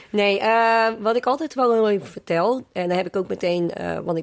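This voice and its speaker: Using an ordinary speaking voice, a woman speaks at a moderate pace with lively intonation. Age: 20s. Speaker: trainee primary school teacher. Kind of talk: casual interview.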